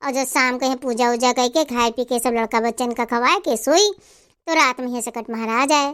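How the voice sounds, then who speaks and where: In a very clean recording with a silent background, a woman uses a high-pitched, put-on character voice at a very fast pace. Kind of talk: folk tale telling. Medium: comedy sketch. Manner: homely, teasing.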